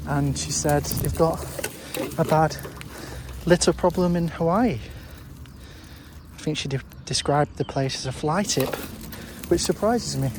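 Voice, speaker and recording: Someone with a British accent speaks at a moderate pace with long, frequent pauses over noticeable background noise. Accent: British accent, noted by self. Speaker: litter-picking vlogger. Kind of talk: casual vlog talk to camera. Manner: hesitant, many fillers.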